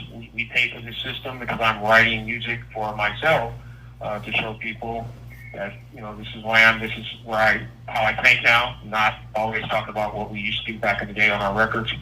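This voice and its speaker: A fairly low-pitched man speaks at a fairly quick pace in monotone, flat intonation. Noticeable background noise and audible room echo fill the recording. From US West Coast, South Central Los Angeles. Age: 60s. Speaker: R&B singer and writer, incarcerated. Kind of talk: interview. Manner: halting, frequent fillers and repeats.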